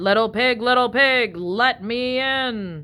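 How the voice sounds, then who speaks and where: A put-on character voice is raised and projected at a fairly high pitch. The pace is fairly slow. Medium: read story.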